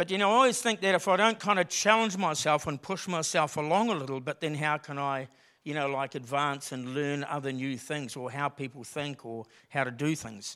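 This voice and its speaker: In a very clean recording with a silent background, a man with an Australian accent talks at a fairly quick pace, his fairly high voice bright and sharp in tone, with lively intonation. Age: 50s. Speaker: lay preacher. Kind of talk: sermon. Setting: church. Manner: casual, conversational.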